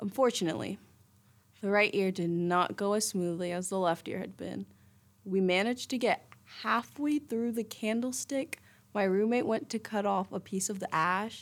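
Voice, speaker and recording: This woman talks at a moderate pace, her pitch medium with ordinary variation. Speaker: college student radio host. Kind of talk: personal storytelling monologue. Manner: casual, animated.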